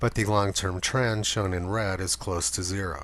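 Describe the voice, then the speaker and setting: A man speaks at a moderate pace with vocal fry. His pitch is very deep and low. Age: 60s. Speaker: climate commentator. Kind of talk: narrated video commentary.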